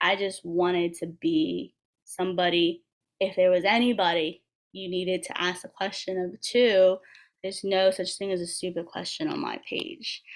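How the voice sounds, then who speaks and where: Using a plain, everyday voice, a woman with an American accent speaks at a moderate pace and medium pitch, with ordinary pitch variation. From Washington DC area. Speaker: physical therapist assistant. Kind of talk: panel conversation.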